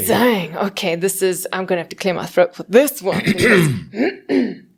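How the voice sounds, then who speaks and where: At a fairly slow pace, a woman with a South African accent speaks at a medium pitch. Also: ordinary pitch variation. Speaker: voice actor. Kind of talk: podcast interview answer. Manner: casual, chatty, humorous.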